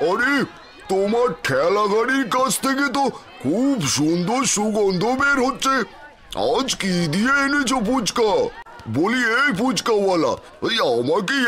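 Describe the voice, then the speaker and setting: A man puts on a cartoonish character voice at an extremely high pitch, raised and projected, speaking at a fairly slow pace over clear background noise. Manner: lively, informal.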